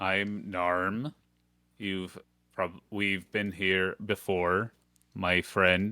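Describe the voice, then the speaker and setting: In a put-on character voice, a man speaks very slowly at a very deep, low pitch, with fairly even intonation, long, frequent pauses and a dry, close sound with no echo. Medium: actual play.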